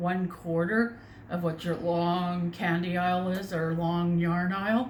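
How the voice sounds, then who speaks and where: In a Canadian accent, a woman speaks at a fairly slow pace with a fairly low pitch and fairly even intonation, and audible room echo surrounds her voice. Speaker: crochet vlogger. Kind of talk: casual chat. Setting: home bedroom. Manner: loud. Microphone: far from the mic.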